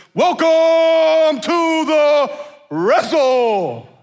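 A put-on character voice, high in pitch.

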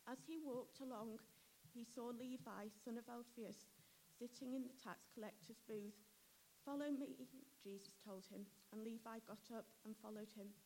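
A woman speaks at a moderate pace with ordinary pitch variation and long, frequent pauses. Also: fairly high pitch for a woman. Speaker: scripture reader. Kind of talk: reading aloud. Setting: church.

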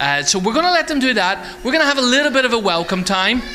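Against music in the background, a man speaks in a raised, projected voice with very wide pitch swings. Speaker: church host. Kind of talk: casual announcements. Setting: church.

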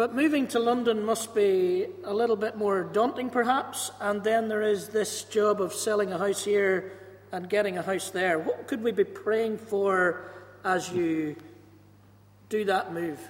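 A fairly slow pace in a Northern Irish accent. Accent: Ballymena (Northern Irish). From Northern Ireland, Ballymena. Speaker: pastor. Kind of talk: church service interview. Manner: loud, carrying.

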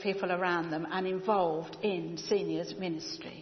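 A woman talks in a British accent. Noticeable background noise runs under her voice. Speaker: church member. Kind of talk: church announcements. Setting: church.

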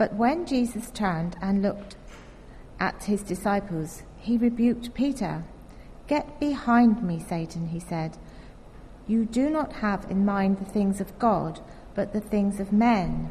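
The woman's voice is somewhat breathy, with a medium pitch and ordinary pitch variation. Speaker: scripture reader. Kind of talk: reading aloud. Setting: church.

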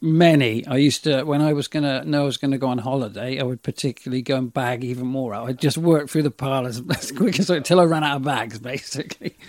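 A very fast man's voice with a West Country accent, a medium pitch, ordinary pitch variation and hardly any pauses, dry and close with no echo, over noticeable background noise. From Somerset, England (Frome area). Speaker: retail area manager and youth leader. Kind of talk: casual interview.

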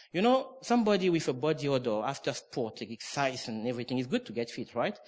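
A man speaks very fast with lively intonation. He talks in a French accent. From France, Normandy. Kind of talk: sermon. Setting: church with congregation.

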